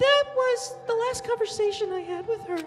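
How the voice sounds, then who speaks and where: An extremely high-pitched, put-on character voice talks at a moderate pace. Background noise is clearly heard. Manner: emotional, brooding.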